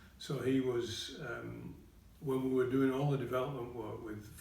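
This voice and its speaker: A man's voice against noticeable background noise. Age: 80s. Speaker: retired college principal. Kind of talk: interview answer.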